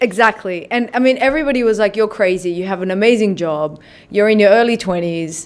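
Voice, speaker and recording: Talking at a very fast pace, a woman speaks with an Australian accent. Her pitch is medium, with ordinary variation. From Australia (Sydney), Iranian heritage, moved at seven. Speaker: filmmaker. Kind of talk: interview conversation.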